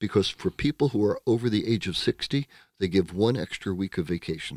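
A man with an American accent talks in a normal speaking voice, fairly low in pitch, at a fairly quick pace with lively intonation. The recording is very clean with a silent background and a dry, close sound with no echo. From United States. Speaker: psychotherapist. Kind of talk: casual interview.

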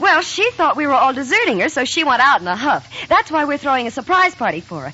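A woman uses a put-on character voice, high in pitch with a bright, sharp tone. She talks fast with big pitch swings.

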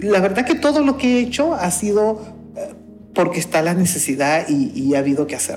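With music in the background and audible room echo, a woman at medium pitch speaks at a moderate pace with very wide pitch swings. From Honduras, Garifuna community of the northern Caribbean coast. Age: 50s. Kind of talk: interview testimony. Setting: community center of a church.

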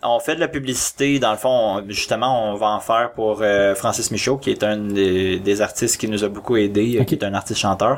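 A man talks in an ordinary speaking voice, at a fairly low pitch with ordinary pitch variation. His pace is fairly quick, with hardly any pauses and very even loudness. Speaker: amateur filmmaker. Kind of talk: casual chat.

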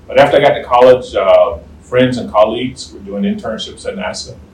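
A man with an American accent speaks fairly quickly, with noticeable background noise and audible room echo. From US South, southern Virginia. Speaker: retired space program director. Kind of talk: interview. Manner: halting.

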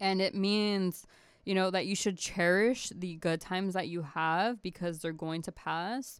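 A woman's normal speaking voice, medium in pitch, fairly even in intonation and fairly slow, on a very clean recording with a silent background. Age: 20s. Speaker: podcast guest. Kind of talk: casual chat.

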